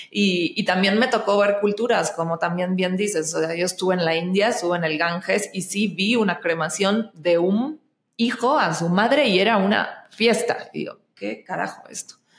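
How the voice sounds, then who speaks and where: Hardly pausing, a woman talks at a moderate pace and medium pitch with ordinary pitch variation. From Argentina, Buenos Aires. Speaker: actress and singer. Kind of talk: casual interview chat.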